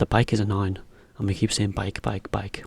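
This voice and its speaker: A man speaks with a British accent. His voice is fairly low and somewhat breathy. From Britain. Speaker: English teacher for Japanese learners. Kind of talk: educational explainer, English lesson. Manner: clear, relaxed, friendly, conversational.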